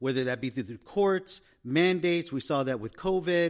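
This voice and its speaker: A man is heard in a very clean recording against a silent background. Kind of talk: casual chat.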